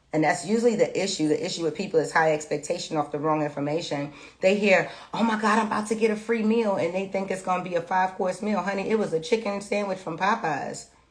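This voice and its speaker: At a very fast pace, a woman talks in a medium pitch with ordinary pitch variation. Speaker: tarot reader. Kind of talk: tarot reading livestream.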